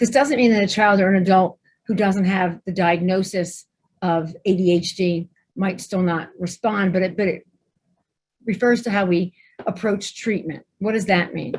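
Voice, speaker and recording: A woman talks with an American accent at a medium pitch. Her voice is somewhat breathy. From New Jersey. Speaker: pediatrician. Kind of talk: webinar presentation. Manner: fast; animated.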